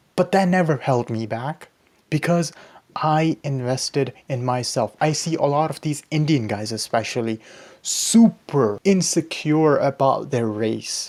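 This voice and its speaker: Speaking fairly slowly with a slight Pakistani accent, a man uses lively intonation at a fairly high pitch on a very clean recording with a silent background. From Pakistani background. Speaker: YouTuber, self-improvement. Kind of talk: casual vlog monologue.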